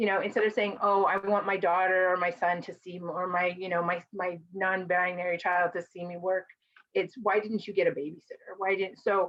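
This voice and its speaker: With an American accent, a woman speaks at a fairly quick pace in a monotone, flat intonation. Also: medium pitch for a woman. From Mexican American, US. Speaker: conference presenter and caregiver advocate. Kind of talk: presentation to a virtual conference. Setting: virtual conference video call. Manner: fast.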